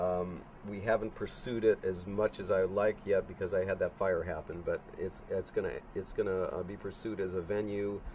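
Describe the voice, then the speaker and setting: A man with an American accent talks at a moderate pace in a fairly low pitch and flat monotone, the sound dry with no echo and light background noise. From Chicago, US Midwest. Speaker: homeowner of the filming location; interviewee. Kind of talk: interview. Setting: in his house. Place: open country.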